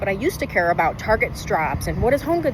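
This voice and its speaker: Over noticeable background noise, a woman talks very fast in an animated tone, her pitch swinging very widely. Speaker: lifestyle vlogger. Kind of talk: casual vlog monologue.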